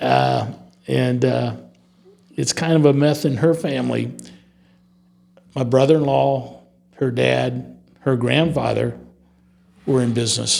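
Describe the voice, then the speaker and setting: With a US Midwestern accent, the speaker goes at a fairly slow pace with long, frequent pauses amid audible room echo. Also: man. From Northwest Ohio, US Midwest. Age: 70s. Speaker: business owner. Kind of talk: interview.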